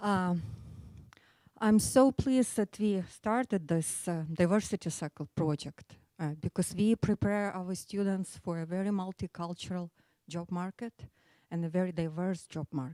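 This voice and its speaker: With an Eastern European accent, a woman speaks in a dark, mellow tone at medium pitch and a moderate pace, with ordinary pitch variation, in a very clean recording with a silent background and a dry, close sound with no echo. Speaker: business school study abroad coordinator. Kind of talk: short presentation.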